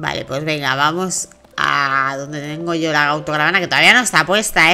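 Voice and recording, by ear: A woman with a low voice speaks at a moderate pace, her tone bright and sharp yet clear and smooth, with ordinary pitch variation.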